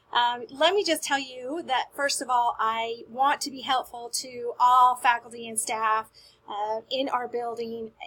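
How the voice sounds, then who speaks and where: A woman with an American accent speaks fairly slowly in a high pitch, her tone upbeat, bright and sharp. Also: ordinary pitch variation, big swings in loudness. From US South. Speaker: school media specialist. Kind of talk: staff announcement. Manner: friendly, upbeat.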